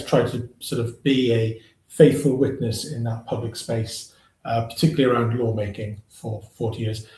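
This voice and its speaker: Delivered at a moderate pace, the voice is somewhat breathy, with a dark, mellow tone and fairly even intonation. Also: man. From South West Wales, Llanelli. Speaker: charity leader. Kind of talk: panel discussion.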